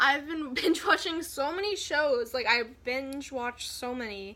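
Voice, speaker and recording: A woman's raised, projected voice rings out at a high pitch with lively intonation. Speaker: YouTuber. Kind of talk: casual chat. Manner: halting.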